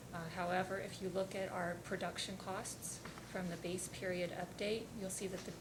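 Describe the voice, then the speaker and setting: Quiet and flat in intonation, a woman speaks at a medium pitch and moderate pace, with noticeable background noise and audible room echo. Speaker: utility company witness. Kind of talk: testimony at regulatory hearing. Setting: hearing room. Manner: formal.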